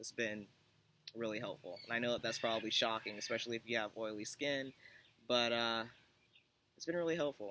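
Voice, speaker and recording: The voice has a bright, sharp tone and fairly even intonation, moving at a fairly quick pace with long, frequent pauses. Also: man, medium pitch for a man. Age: 30s. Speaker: vlogger. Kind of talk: personal vlog update. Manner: hesitant, many fillers.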